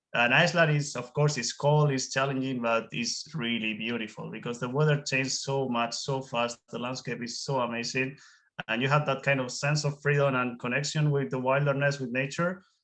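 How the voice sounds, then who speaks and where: A man with a Spanish accent at a fairly quick pace, with fairly even intonation and hardly any pauses. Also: medium pitch for a man. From Spain. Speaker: whale watching guide. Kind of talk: webinar interview.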